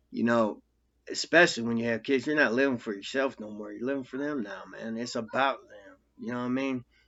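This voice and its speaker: Delivered with an American accent, an ordinary speaking voice goes at a fairly quick pace, with fairly even intonation but big swings in loudness. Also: man, medium pitch for a man. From US Midwest, Quad Cities, Iowa. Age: 40s. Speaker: ex-convict vlogger. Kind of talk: casual monologue. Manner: rambling with many fillers and profanity.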